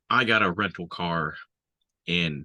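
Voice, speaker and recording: Against a quiet background, a man's very deep, low voice has a bright, sharp tone and fairly even intonation, with a dry, close sound and no echo. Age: 40s. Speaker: army veteran. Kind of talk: casual chat.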